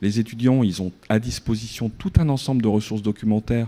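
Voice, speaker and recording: A man's voice sits at a medium pitch. He keeps to a moderate pace. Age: 50s. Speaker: researcher in a debate. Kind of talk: debate. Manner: animated.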